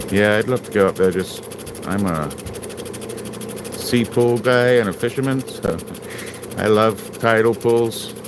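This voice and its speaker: Over noticeable background noise, a man speaks at a fairly slow pace and medium pitch, with ordinary pitch variation and long, frequent pauses. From England. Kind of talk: casual livestream chat while working.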